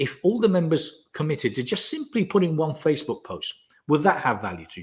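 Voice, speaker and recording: The man talks at a very fast pace in a fairly high pitch. Vocal fry runs through his voice. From Spain. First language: Spanish. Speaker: business coach and founder. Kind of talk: live webinar Q&A.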